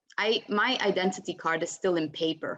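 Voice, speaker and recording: A woman is speaking. She has an Italian accent. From Italy. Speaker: panelist. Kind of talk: panel discussion.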